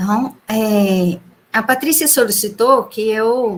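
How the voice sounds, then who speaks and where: A woman talks very slowly. Her pitch sits fairly high. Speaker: lecturer in teacher education. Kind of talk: online conference talk.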